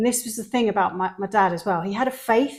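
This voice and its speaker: Speech races at a very fast pace on a very clean recording with a silent background. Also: woman. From London, southern England. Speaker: podcast co-host, mother. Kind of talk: casual chat.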